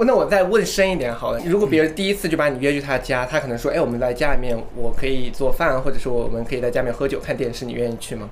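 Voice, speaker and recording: Very fast speech with hardly any pauses and lively intonation, over noticeable background noise. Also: man, fairly high pitch for a man. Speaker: podcast host. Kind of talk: casual chat.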